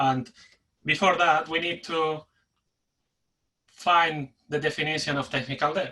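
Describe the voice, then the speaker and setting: With a Spanish accent, a man speaks fairly slowly in a fairly high, bright, sharp voice, his intonation monotone and flat, broken by long, frequent pauses. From Spain. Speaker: delivery manager and agile coach. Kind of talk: conference talk. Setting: webinar. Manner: pauses for breath.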